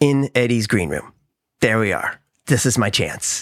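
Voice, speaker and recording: With an American accent, a man speaks fairly slowly at medium pitch with fairly even intonation, on a very clean recording with a silent background and a dry, close sound with no echo. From Missouri, St. Louis. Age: 50s. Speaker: actor and musician. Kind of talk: casual chat.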